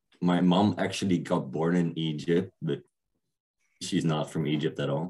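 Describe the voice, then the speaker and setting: A man speaks with a Dutch accent in a very deep, low pitch. His tone is dark and mellow, and his pace is fairly slow. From Netherlands. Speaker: DJ. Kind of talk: casual chat.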